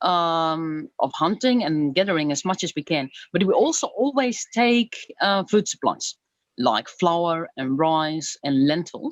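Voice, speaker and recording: A woman with a Dutch accent speaks fairly slowly in a fairly low pitch with very wide pitch swings, in a dry, close sound with no echo. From Netherlands. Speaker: adventurer and author. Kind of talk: interview.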